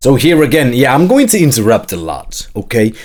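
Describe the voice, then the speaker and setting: At a fairly quick pace, a man with a non-native accent speaks at a medium pitch with very wide pitch swings. The recording is very clean, with a silent background. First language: not English. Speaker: gaming youtuber reacting to trailer. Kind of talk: casual reaction commentary. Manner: animated.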